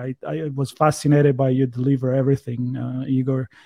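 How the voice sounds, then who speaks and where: A man with an Italian accent. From Italy. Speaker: podcast host. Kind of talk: casual chat.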